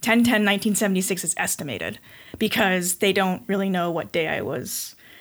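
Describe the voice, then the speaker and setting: Speaking at a fairly slow pace, a woman with an American accent uses a normal speaking voice at medium pitch with ordinary pitch variation, captured on a very clean recording with a silent background. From Connecticut, US. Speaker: breast cancer survivor, weightlifter. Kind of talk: casual interview. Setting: studio, in person.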